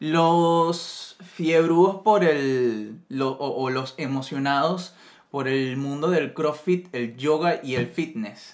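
The man's pitch is fairly high, with ordinary variation. He speaks at a very slow pace. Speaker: podcast co-host. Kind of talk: casual chat.

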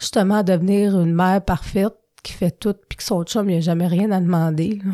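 On a very clean recording with a silent background, a woman with a Quebec accent speaks at medium pitch and a moderate pace, her intonation fairly even. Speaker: recovering alcoholic sharing her story. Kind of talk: personal testimony. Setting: studio. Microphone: close to the microphone.

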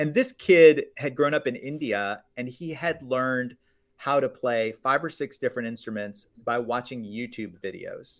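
A man with an American accent speaks in an ordinary speaking voice at medium pitch. His pace is moderate and his pitch variation ordinary. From US, Florida. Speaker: media company founder, former business journalist. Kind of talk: interview. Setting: video call.

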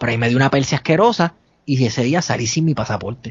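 A man in a Puerto Rican accent talks at a very fast pace in a medium pitch. His voice is somewhat breathy, with ordinary pitch variation. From Puerto Rico. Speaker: podcaster. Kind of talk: casual storytelling.

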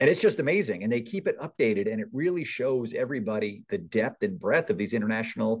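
A man with an American accent talks at a very fast pace and medium pitch, using very wide pitch swings. The background is quiet. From US Northeast. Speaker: economic development executive. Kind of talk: podcast interview.

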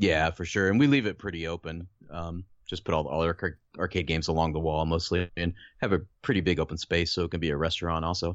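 With an American accent, a man talks at a very fast pace in a very deep, low voice with fairly even intonation. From central Illinois (Decatur). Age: 40s. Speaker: arcade bar owner. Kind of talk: casual chat.

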